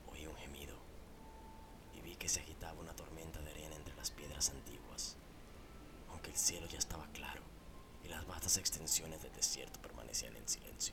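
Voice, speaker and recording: The whispering moves at a fairly quick pace, broken by long, frequent pauses. Background noise is noticeable. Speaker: horror story narrator. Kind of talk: scripted narration of a horror story, read aloud as a first-person ghost tale. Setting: studio podcast recording. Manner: solemn, formal, gravely expressive storytelling tone.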